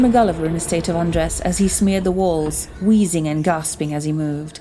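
A woman speaks at a fairly quick pace. Noticeable background noise runs under her voice. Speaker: storyteller. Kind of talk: horror story narration, period tale read aloud in dramatic storytelling style.

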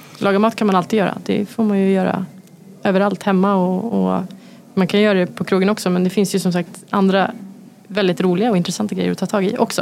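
Talking at a very fast pace, a woman keeps a medium pitch, a monotone, flat intonation and very even loudness. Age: 30s. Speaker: chef. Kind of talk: casual chat.

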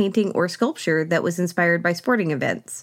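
Speaking at a fairly quick pace, a woman has an American accent. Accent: slight Southern US, mostly hidden. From US South, Oklahoma. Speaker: podcast host. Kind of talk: scripted-style narration with commentary. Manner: humorous, wry.

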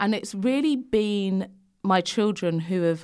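A woman with a London accent speaks at a fairly slow pace in a very clean recording with a silent background. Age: 30s. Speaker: fashion and body image influencer. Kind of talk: casual interview chat. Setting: studio.

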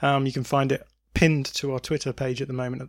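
A man with an English accent at a moderate pace, his intonation monotone and flat. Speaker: football podcast host. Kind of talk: casual chat.

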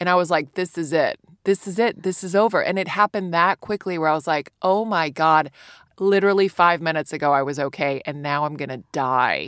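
A woman with an American accent talks at a fairly quick pace in a fairly low pitch with ordinary pitch variation. It is a normal speaking voice, heard as a dry, close sound with no echo. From US, Virginia. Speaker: stand-up comedian. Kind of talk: casual chat.

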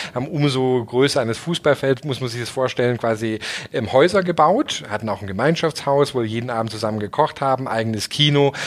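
Over noticeable background noise, a man talks at a fairly quick pace, his medium-pitched voice showing ordinary pitch variation. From southern Germany. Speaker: startup founder and CEO. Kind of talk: interview.

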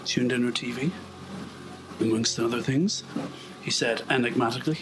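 Over noticeable background noise, a man with an Irish accent speaks at a medium pitch with ordinary pitch variation. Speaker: vlogger walking on treadmill. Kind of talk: casual monologue. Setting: indoors on a treadmill. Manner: fast.

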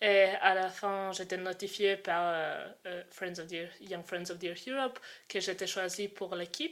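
Very slowly, a woman talks with fairly even intonation. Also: medium pitch for a woman. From Croatia. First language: Croatian (speaking French). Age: 20s. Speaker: student and activist. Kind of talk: interview. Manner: halting.

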